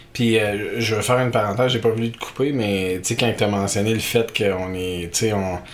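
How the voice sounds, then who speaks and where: A man at a fairly low pitch with fairly even intonation, a fairly quick pace and hardly any pauses, over noticeable background noise. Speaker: podcast host. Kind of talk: casual chat, playful banter.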